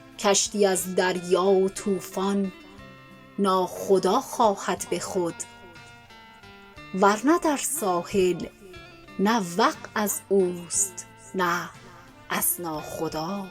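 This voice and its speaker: With music in the background, a woman speaks at a very slow pace in a calm, soothing tone and medium pitch, using ordinary pitch variation and long, frequent pauses. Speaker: poetry reciter. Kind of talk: poetry reading.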